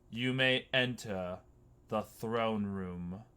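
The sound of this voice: Putting on a booming character voice, a man keeps a medium pitch and fairly even intonation.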